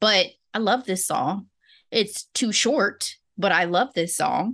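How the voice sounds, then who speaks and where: A woman with an unremarkable speaking voice, medium pitch, lively intonation and a fairly slow pace, over a quiet background. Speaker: podcast host. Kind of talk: casual chat.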